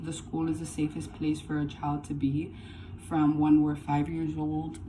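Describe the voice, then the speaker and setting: Fairly slow speech from a woman, with audible room echo. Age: 20s. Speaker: college student. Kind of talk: class speech. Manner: halting.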